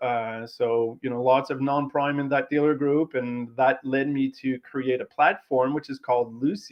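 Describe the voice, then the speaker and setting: With a Quebec accent, a man speaks at a medium pitch and a moderate pace, his intonation fairly even. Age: 40s. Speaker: automotive tech entrepreneur. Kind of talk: interview.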